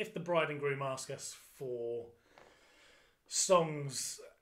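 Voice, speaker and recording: A fairly high-pitched man with an English accent, against a quiet background. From England. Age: 30s. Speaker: function band drummer; podcast guest. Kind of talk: casual chat. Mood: relaxed, jokey storytelling. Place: home room. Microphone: studio mic.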